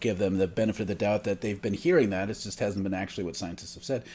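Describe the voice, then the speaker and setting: A man with an American accent in a very clean recording against a silent background. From Upper Midwest, northern Michigan area. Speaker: podcast co-host. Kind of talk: casual chat. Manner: halting.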